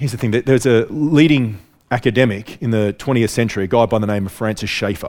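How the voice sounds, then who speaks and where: With an Australian accent, the speaker goes at a very fast pace with ordinary pitch variation. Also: man, medium pitch for a man. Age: 40s. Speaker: preacher. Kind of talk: sermon. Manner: repeats words, halting.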